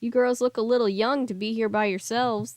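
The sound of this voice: A woman's put-on character voice, fairly high and fairly quick, in a monotone, flat delivery. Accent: Southern.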